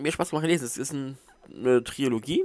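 A man is speaking. The sound is dry, with no echo. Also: quiet background. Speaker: book reviewer. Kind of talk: casual book review to camera. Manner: mumbling. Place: home room. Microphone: headset.

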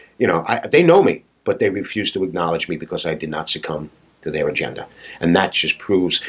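Against a quiet background, a man with a New York accent talks at a fairly quick pace. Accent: New York, non-rhotic. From Staten Island, New York. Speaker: patriotic artist; podcast guest. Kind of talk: casual interview. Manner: animated. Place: office.

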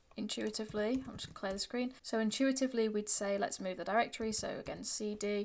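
A woman with a Yorkshire accent at a very fast pace, fairly high-pitched, fairly even in intonation, with hardly any pauses. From northern England, Yorkshire. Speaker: programming tutor. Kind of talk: tutorial. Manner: casual, with fillers. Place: home room.

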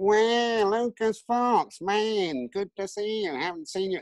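In a whiny, put-on character voice, a man speaks at a fairly slow pace with a high pitch. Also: ordinary pitch variation.

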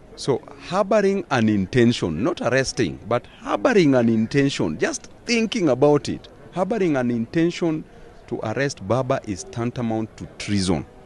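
With light background noise and a dry, echo-free sound, a man's voice moves through very wide pitch swings. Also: moderate pace. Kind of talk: interview answer. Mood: stern, warning. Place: street. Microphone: handheld.

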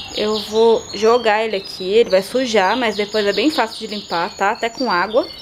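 A woman talks at a fairly high pitch and a moderate pace, with fairly even intonation and hardly any pauses. Noticeable background noise can be heard. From Brazil. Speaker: gardening youtuber. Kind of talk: tutorial. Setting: at home. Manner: casual. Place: garden. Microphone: phone near.

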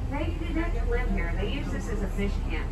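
The pace is fairly slow. Loud background noise runs underneath. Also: woman. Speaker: tour guide driver. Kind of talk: tour guide commentary. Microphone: camera far.

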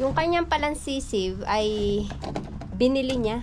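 Noticeable background noise accompanies a woman speaking at a fairly slow pace. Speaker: garden vlogger. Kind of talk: casual vlog chat. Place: garden. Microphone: phone near.

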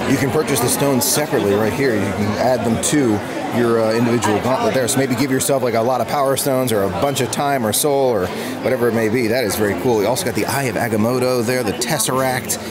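A man talking at a very fast pace over crowd noise in the background. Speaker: theme park vlogger. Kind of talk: casual vlog chat. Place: shop. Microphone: phone near.

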